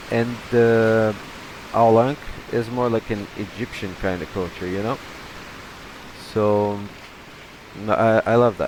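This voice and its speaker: With a Brazilian accent, a man of medium pitch speaks at a fairly slow pace with fairly even intonation, leaving long, frequent pauses over noticeable background noise. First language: Portuguese. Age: 30s. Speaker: gaming youtuber. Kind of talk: gameplay commentary. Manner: halting, many repetitions; casual, chatty.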